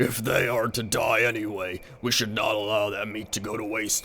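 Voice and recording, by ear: In a raspy, put-on character voice, a man speaks at a moderate pace and medium pitch against clear background noise.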